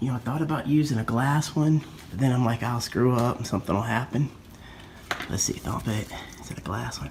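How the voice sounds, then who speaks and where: A man whispers at a moderate pace, broken by long, frequent pauses. Noticeable background noise can be heard. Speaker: fishing show host. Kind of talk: casual vlog narration. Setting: at home, indoors. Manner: whispering a little.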